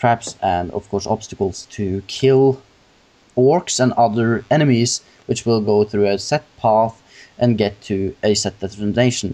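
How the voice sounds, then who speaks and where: Speaking at a fairly slow pace, a man with a non-native accent has a fairly low pitch, a dark, mellow tone and ordinary pitch variation. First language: not English. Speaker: gaming podcast host. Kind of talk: casual chat. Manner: halting.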